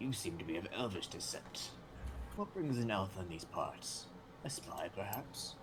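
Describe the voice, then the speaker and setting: A whispering, put-on character voice moves at a moderate pace. Loud background noise sits behind it. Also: man. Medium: actual play. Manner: dry, sardonic.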